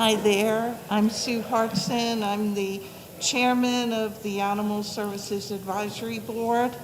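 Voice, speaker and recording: Over noticeable background noise and audible room echo, the speech comes at a fairly slow pace with monotone, flat intonation. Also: woman, fairly high pitch for a woman. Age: 70s. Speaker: advisory board chair. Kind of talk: public presentation. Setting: community center meeting room.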